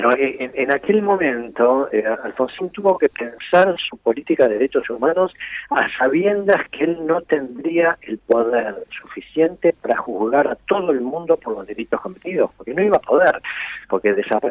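Over noticeable background noise, a man with a fairly high pitch talks at a moderate pace, his voice making very wide pitch swings. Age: 70s. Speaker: lawyer and author. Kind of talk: interview.

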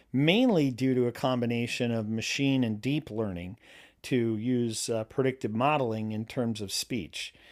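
A man with an unremarkable speaking voice and a medium pitch talks at a moderate pace with ordinary pitch variation, on a very clean recording with a silent background. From New York State, US. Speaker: language expert. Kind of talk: interview.

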